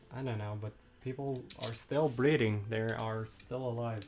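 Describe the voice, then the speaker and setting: Words come out at a fairly slow pace. The voice carries a non-native accent. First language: not English. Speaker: livestreamer. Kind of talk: casual chat. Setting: live stream. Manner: halting.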